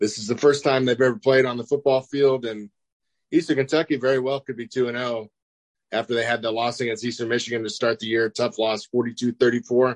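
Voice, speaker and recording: A man with an American accent speaks in a normal speaking voice at medium pitch, his intonation fairly even and his pace fairly quick, with a dry, close sound and no echo. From Kansas. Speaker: sports podcast co-host. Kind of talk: casual sports talk. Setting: video call.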